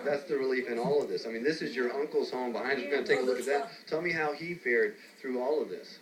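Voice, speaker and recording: A man talks at a very fast pace in a fairly high voice with ordinary pitch variation. Noticeable background noise runs underneath. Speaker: TV news reporter. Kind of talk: live TV news report. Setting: outdoors.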